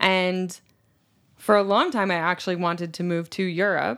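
A woman's unremarkable speaking voice with an American accent, medium in pitch and moderate in pace, on a very clean recording with a silent background. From US South. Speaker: English teacher. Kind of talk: casual chat. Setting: studio.

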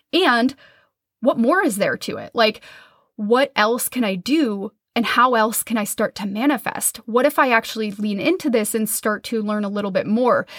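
Speaking with an American accent at a moderate pace, a woman uses a fairly high pitch with ordinary pitch variation, the sound dry and close with no echo. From US Midwest, Minnesota. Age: 30s. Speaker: podcast host and business coach. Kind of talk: solo podcast monologue.

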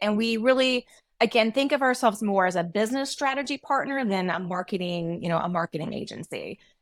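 In a very clean recording with a silent background and a dry, close sound with no echo, a woman with an American accent talks at a very fast pace, her medium pitch showing ordinary variation. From US South. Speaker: marketing agency founder. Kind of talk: interview.

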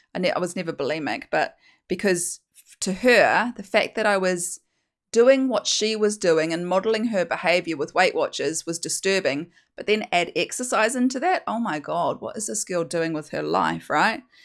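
The speaker has a New Zealand accent, lively intonation and a moderate pace. Loudness swings widely on a very clean recording with a silent background. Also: woman, medium pitch for a woman. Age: 40s. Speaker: hypnosis weight coach and podcast host. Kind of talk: solo monologue sharing personal story.

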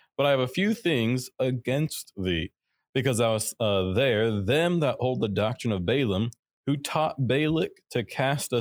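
Here is a man with an ordinary speaking voice at a medium pitch. His intonation is lively and his pace moderate. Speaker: co-host Bible teacher. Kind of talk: live Bible study discussion. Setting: live stream.

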